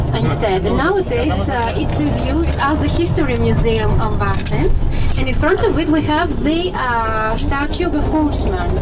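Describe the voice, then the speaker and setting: The speech runs on with hardly any pauses over loud background noise. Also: woman, moderate pace. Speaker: tour guide. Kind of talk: tour guide commentary. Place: bus.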